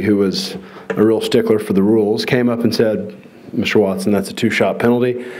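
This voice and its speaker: A man mumbles at a fairly quick pace and a medium pitch. Noticeable background noise and audible room echo surround his voice. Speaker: professional golfer. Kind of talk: award induction speech. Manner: mumbling.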